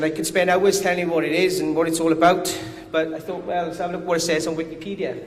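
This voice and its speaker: Amid noticeable background noise and audible room echo, a man with a strong Welsh accent talks very fast at a high pitch. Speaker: company commercial director. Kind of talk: conference presentation.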